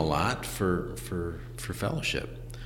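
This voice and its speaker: A man speaks in a very deep, low voice with ordinary pitch variation. The room echo is audible, and there's noticeable background noise. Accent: Midwestern American. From Ohio, Lakewood near Cleveland. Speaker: school founder and educator. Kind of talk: casual interview. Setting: in person, Lakewood Ohio. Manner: slow.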